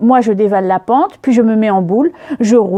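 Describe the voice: Pitch variation is ordinary. The text is simply read aloud in a plain way.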